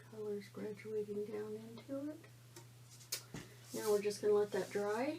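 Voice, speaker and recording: Noticeable background noise behind a woman's fairly slow speech. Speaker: art tutorial creator. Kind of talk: tutorial. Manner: quiet; casual, halting.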